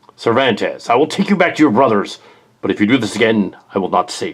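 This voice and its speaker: In a put-on character voice, a man rattles along at a very fast pace with a medium pitch. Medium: machinima. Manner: measured, authoritative.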